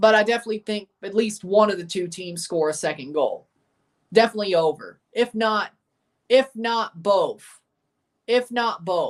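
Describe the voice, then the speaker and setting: Lively intonation and an animated tone mark this voice with a Southern US accent. The pace is fairly slow. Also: woman. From Nashville, Tennessee (US South). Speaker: sports streamer. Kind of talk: live watchalong commentary. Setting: livestream.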